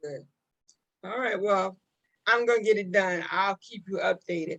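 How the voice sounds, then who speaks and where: In a plain, everyday voice, a woman speaks at a medium pitch and a moderate pace, with ordinary pitch variation and big swings in loudness. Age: 60s. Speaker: talk show host. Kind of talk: casual interview chat.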